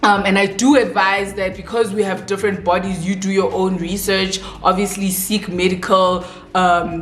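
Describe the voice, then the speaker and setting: Music plays in the background as a woman speaks at a moderate pace in a non-native accent, her pitch medium. Her intonation is monotone and flat, with audible room echo. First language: not English. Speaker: beauty vlogger. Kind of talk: casual chat while doing makeup. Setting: at home with bright lights, doors open.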